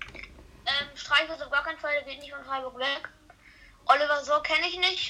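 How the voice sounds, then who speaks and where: In a raised, projected voice, a woman speaks at a fairly slow pace with fairly even intonation. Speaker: football podcast co-host. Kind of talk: casual chat. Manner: halting, many fillers.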